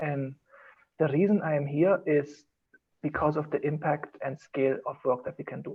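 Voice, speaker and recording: This man has a German accent and a fairly high pitch. He talks at a fairly quick pace. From Germany. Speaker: designer. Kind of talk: casual chat.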